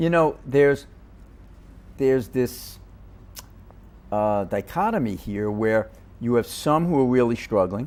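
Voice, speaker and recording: Pausing long and often, a man with a New York accent speaks at a fairly slow pace and a medium pitch with lively intonation. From New York, Queens. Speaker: policy advocate. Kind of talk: interview.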